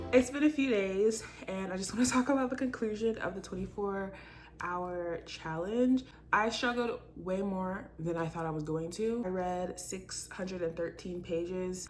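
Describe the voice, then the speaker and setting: Noticeable background noise sits under a woman speaking at a medium pitch with ordinary pitch variation. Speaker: book vlogger. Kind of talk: casual vlog talk. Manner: fast; animated.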